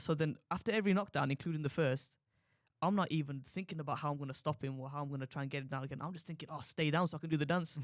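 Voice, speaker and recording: Very fast and fairly high-pitched, a man talks. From Walsall, West Midlands, England. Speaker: professional boxer. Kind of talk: podcast interview. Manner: animated.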